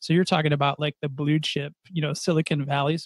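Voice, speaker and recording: Here is a man with a normal speaking voice, fairly high in pitch, with fairly even intonation at a fairly quick pace. The recording is very clean and dry, close-up with a silent background and no echo. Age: 40s. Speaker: podcast co-host. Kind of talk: casual chat.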